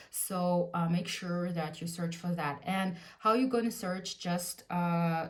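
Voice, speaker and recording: A fairly slowly paced, somewhat breathy voice with a Russian accent, set against audible room echo. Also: woman. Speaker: lifestyle vlogger. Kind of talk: casual tutorial. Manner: hesitant, frequent fillers.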